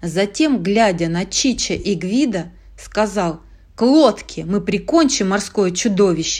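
The speaker reads in a natural reading voice with intonation that moves in a lively way.

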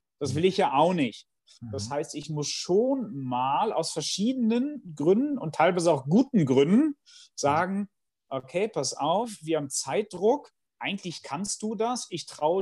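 At a fairly slow pace, a man with a high pitch and a dark, mellow tone moves through very wide pitch swings. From Bielefeld, Germany. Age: 40s. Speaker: management professor and consultant. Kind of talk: interview conversation.

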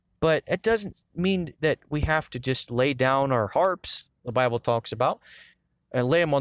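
A man at medium pitch with ordinary pitch variation, a normal speaking voice, and a dry, close sound with no echo. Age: 20s. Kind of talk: casual devotional monologue.

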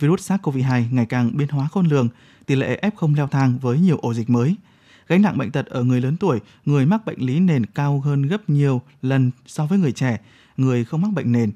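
Over a very clean recording with a silent background, a man speaks at a fairly quick pace with fairly high pitch and lively intonation. His tone is dark and mellow, and the sound is dry and close with no echo. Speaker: radio host. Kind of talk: news reading. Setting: studio.

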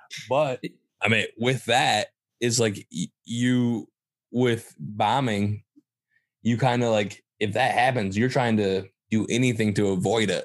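Very slow speech in a Michigan accent with long, frequent pauses, fairly even intonation and very even loudness, in a dry, close sound with no echo against a quiet background. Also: man, medium pitch for a man. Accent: Midwestern US (Michigan). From Michigan, Saginaw. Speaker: stand-up comedian and show producer. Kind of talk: casual interview chat.

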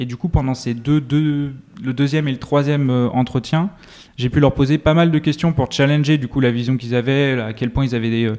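Using a dark, mellow tone, a man speaks at medium pitch and a moderate pace with ordinary pitch variation. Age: 20s. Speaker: tech startup co-founder and CTO. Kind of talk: interview.

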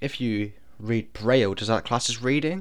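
Speaking at a moderate pace, a man with a British accent uses a medium pitch. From Britain. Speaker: podcast host. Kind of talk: casual monologue.

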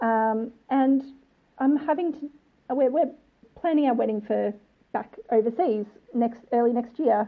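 A woman speaks at a fairly slow pace in an excited tone, leaving long, frequent pauses. Her pitch is high, with ordinary variation. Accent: Australian. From Australia. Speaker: listener and bride-to-be. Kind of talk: voice message.

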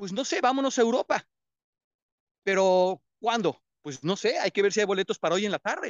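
Lively intonation and an animated tone, with long, frequent pauses. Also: man, high pitch for a man, moderate pace. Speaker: motivational speaker. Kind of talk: motivational talk. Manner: loud.

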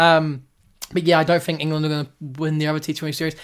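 The recording is very clean with a silent background. A man with a New Zealand accent speaks at a fairly high pitch and a very fast pace. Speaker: podcast host and amateur cricketer. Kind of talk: casual solo sports commentary. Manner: casual, hesitant with many fillers.

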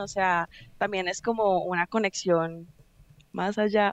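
A woman speaks at a very slow pace and a medium pitch, her intonation monotone and flat. The sound is dry and close, with no echo. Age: 20s. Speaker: reiki practitioner. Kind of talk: interview. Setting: studio.

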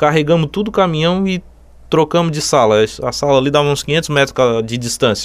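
This is a man with a normal speaking voice. His pitch is fairly high. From southern Santa Catarina, Brazil. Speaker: electrical supply store owner. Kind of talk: interview.

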